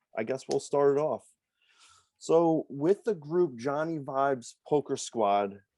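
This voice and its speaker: In a New York accent, a man speaks with a dark, mellow tone, a fairly high pitch and ordinary pitch variation. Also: quiet background. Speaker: poker vlogger and podcast host. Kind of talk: casual interview. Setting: video call.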